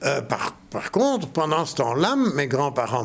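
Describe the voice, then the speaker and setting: Very wide pitch swings mark a man's speech, delivered at a very slow pace. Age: 70s. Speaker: author. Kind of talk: interview.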